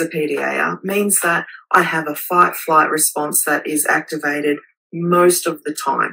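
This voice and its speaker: Speaking fairly slowly, a woman with an Australian accent has a bright, sharp tone. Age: 40s.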